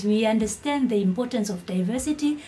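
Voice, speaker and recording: Over noticeable background noise, a woman talks fairly quickly. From Eswatini. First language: Swati. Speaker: YouTuber. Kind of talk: vlog commentary. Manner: animated.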